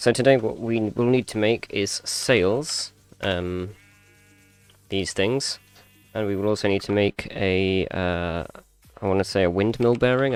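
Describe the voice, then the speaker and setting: Music plays in the background as a man speaks at a moderate pace with long, frequent pauses. His pitch is fairly low, with ordinary pitch variation. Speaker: gaming streamer. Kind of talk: live gameplay commentary. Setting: live stream. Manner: soft-spoken.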